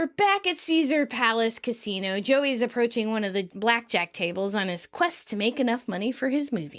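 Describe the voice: It is a plain reading aloud. The intonation is lively.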